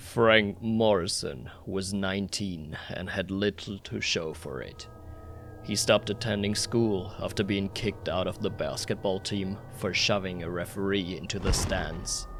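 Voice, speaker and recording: A man puts on a character voice, pitched fairly low, at a moderate pace. Background noise is clearly audible. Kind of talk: horror narration. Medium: read story. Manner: measured, ominous.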